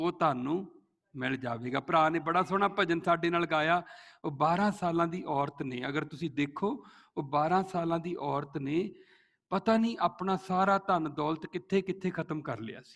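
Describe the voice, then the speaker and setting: With a Punjabi accent and a high pitch, a man speaks with ordinary pitch variation and big swings in loudness against a quiet background. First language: Punjabi (speaking Hindi). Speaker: pastor. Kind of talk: sermon.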